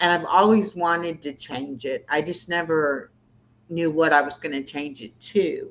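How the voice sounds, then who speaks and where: Her voice fairly low in pitch, a woman with an ordinary speaking voice talks at a moderate pace, with ordinary pitch variation and big swings in loudness. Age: 60s. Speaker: YouTuber. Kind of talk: casual chat. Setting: livestream.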